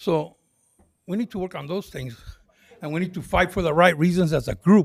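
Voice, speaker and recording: At a moderate pace, a man with a high pitch talks with ordinary pitch variation, big swings in loudness, and long, frequent pauses. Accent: American. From US, arrived in California from Texas in 1955. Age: 70s. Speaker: public commenter at city council meeting. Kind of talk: public comment speech. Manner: repetitive, halting.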